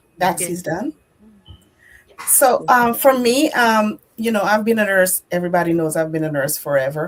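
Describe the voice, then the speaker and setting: A woman at a medium pitch with very wide pitch swings, at a moderate pace. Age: old. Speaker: nurse. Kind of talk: casual chat.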